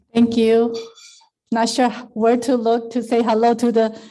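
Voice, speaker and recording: In a Chinese accent, the speaker talks at a fairly slow pace with a dark, mellow tone. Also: woman. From Taiwan, moved to US at 13. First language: Mandarin Chinese. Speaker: service club district leader. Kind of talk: speech to club meeting.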